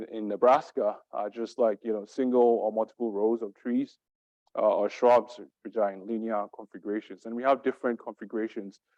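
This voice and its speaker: A man with a dark, mellow, medium-pitched voice talks fairly quickly in a monotone, flat manner. His loudness swings widely, and the sound is dry and close with no echo. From Ghana. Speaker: assistant professor of natural resources. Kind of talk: academic seminar talk.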